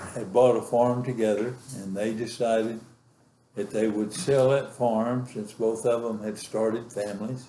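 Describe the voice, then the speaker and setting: A dark, mellow, monotone voice in a West Texas accent, at a moderate pace, with audible room echo. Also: man, medium pitch for a man. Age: 80s+. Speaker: grandfather telling his life story. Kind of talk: oral history interview. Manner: halting, many fillers.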